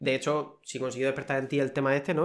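Against a quiet background, a man talks very fast in a flat, monotone delivery. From Cartagena, Murcia, Spain; Murcia, Spain. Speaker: food quality technician; guest. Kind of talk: casual interview. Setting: studio, in person. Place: office. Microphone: studio mic.

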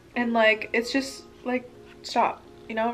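A woman's high voice holds a monotone, flat intonation while faint music plays in the background. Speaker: vlogger. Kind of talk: casual vlog chat while eating. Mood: relaxed, candid. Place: home room. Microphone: camera far.

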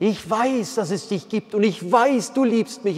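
In an animated tone, a man speaks at a high pitch with ordinary pitch variation and a fairly slow pace. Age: 50s. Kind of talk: sermon. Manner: hesitant fillers. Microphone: lapel.

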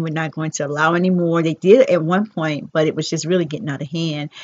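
A woman's fairly low pitch in an ordinary speaking voice, with fairly even intonation. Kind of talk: casual vlog chat. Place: home room. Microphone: headset.

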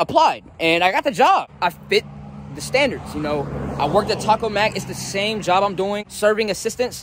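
A man at a moderate pace, dry sound with no echo, noticeable background noise throughout. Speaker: new restaurant worker vlogger. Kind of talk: casual vlog chat. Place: street. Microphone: phone near.

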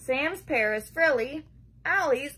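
A woman talks at a very slow pace. Her tone is bright and sharp. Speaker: preschool teacher. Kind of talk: children's picture-book story reading, bedtime story style, aimed at preschoolers. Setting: home video recording. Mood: playful, expressive. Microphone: phone near.

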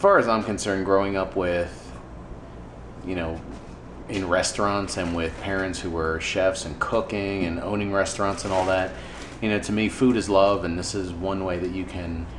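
The speech moves at a moderate pace with fairly even intonation over noticeable background noise. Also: man, very deep, low pitch for a man. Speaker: ministry volunteer vlogger. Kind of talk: casual vlog chat. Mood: somber, reflective. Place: kitchen. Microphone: phone near.

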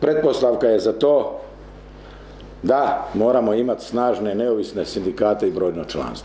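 Lively intonation carries this voice along at a moderate pace, with audible echo from the room. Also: man. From Croatia, Kutina; Croatia. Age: 60s. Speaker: trade union leader. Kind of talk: conference talk. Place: meeting room. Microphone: camera far.

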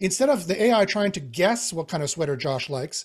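A man's voice with lively intonation against a quiet background. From Canadian Prairies (Winnipeg). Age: 40s. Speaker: AI expert. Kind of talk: interview. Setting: video call. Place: home room. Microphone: video call.

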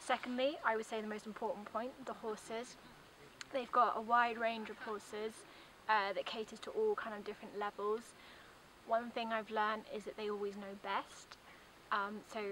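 Recorded dry with no echo over light background noise, a woman with a British accent speaks at a fairly high pitch, a moderate pace and with fairly even intonation. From UK. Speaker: tourist giving a testimonial; guest. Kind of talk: testimonial. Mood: warm, positive. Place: open country.

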